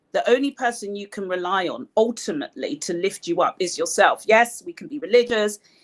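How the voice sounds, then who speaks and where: This woman speaks at a medium pitch with an English accent. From Nigeria. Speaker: broadcast journalist and communications consultant. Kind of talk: lecture.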